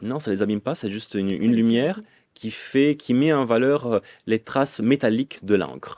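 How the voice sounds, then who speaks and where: A man talks at a moderate pace in a medium pitch with ordinary pitch variation. The sound is dry with no echo, over a quiet background. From northern Italy, Lombardy. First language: Italian (speaking French). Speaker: medievalist scholar; guest. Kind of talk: interview. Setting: studio. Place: studio. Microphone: studio mic.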